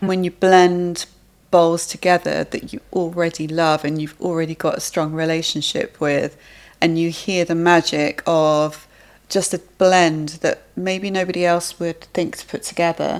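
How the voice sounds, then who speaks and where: Recorded very cleanly over a silent background, a woman with an English accent speaks at a fairly slow pace and fairly low pitch in a flat, monotone way. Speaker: sound healer. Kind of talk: interview answer.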